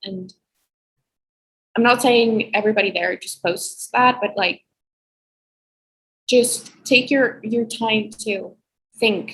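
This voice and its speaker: Speaking at a very slow pace, a woman has a fairly high pitch. She takes long, frequent pauses, and her loudness swings widely. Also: fairly even intonation. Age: young. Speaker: college student. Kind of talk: casual chat.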